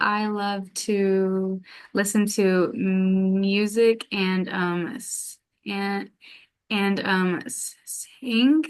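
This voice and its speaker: This woman talks very slowly. Her voice sits at a medium pitch with fairly even intonation. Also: big swings in loudness. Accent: American. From US South, Atlanta. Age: 20s. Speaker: graduate student in social work. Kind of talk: interview. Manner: halting, many fillers.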